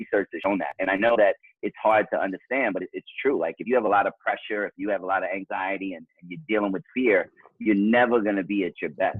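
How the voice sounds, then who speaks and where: A man talks at a very fast pace with a New York accent. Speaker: author and father. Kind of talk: interview.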